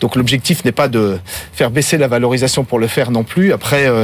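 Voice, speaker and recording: At a moderate pace, a man talks in an unremarkable speaking voice of medium pitch, varying it in an ordinary way. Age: 50s. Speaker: spirits company CEO. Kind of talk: interview. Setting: studio.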